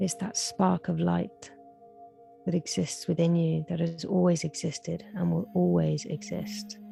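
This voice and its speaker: A woman speaks at a fairly slow pace in a calm, soothing tone. Music plays in the background. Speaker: meditation guide. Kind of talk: guided meditation. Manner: slow, calm, soothing.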